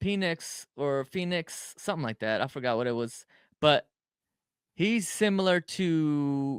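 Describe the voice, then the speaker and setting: On a very clean recording with a silent background, someone with a Spanish accent speaks at a very slow pace with lively intonation, the sound dry and close with no echo. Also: man. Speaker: podcast host. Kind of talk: casual chat.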